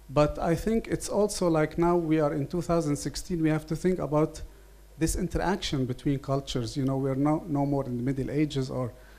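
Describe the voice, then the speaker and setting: Speaking in an Arabic accent at a moderate pace, a man has a fairly high pitch, a dark, mellow tone and fairly even intonation. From Lebanon. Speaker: writer and translator. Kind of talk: seminar panel statement.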